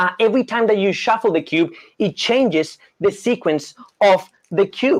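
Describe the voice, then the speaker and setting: With a Colombian accent, a man speaks at a high pitch with lively intonation. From Colombia, Bogota. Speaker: magician. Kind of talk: live magic performance with volunteer. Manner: fast; animated.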